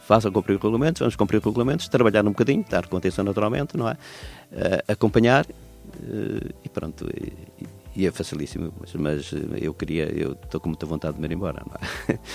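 Over music in the background, the speaker moves at a fairly quick pace with very wide pitch swings. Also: man, fairly low pitch for a man. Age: 70s. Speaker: cycling association president. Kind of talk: interview.

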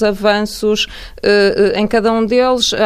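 A woman speaks with fairly even intonation. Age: 40s. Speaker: neuroscientist. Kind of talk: radio interview. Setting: radio studio.

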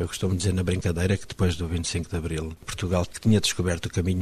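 This man's voice has a very deep, low pitch and a somewhat breathy quality. He talks at a very fast pace in a monotone, flat intonation. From Mozambique. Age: 50s. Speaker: poet. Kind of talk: interview.

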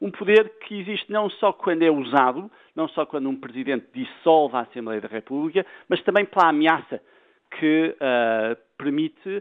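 With lively intonation, a man talks in an unremarkable speaking voice. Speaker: political science professor. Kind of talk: radio interview.

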